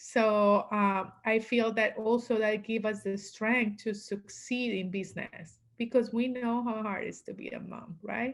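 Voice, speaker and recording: A woman at a fairly slow pace, in a strong Latin American accent. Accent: heavy Latin American Spanish. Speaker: business coach. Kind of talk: interview.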